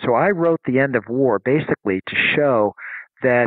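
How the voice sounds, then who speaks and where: Lively intonation with an American accent. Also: man. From United States. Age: 60s. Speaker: science journalist and author. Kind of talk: interview. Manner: halting, with many fillers.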